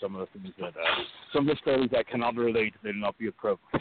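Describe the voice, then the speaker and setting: Noticeable background noise sits behind this recording. A man speaks at a medium pitch. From Iceland and Europe, widely traveled. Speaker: independent pro wrestler. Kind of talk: interview.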